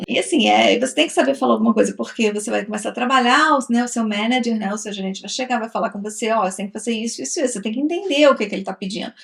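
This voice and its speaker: A woman talks at a very fast pace with hardly any pauses. Her pitch is fairly high, and there is noticeable background noise. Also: ordinary pitch variation. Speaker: travel vlogger. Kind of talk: casual chat.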